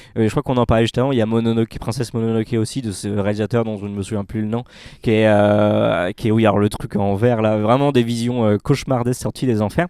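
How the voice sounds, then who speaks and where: Talking at a very fast pace, a man uses a medium pitch and a dark, mellow tone. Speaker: podcast panelist. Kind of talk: casual chat. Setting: cinema room. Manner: animated.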